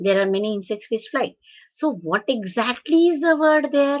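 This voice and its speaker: A woman with a Marathi accent, high-pitched, lively in intonation, at a moderate pace. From India, Hyderabad. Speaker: professor of translation studies. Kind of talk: lecture. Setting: webinar video call. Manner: halting, many fillers.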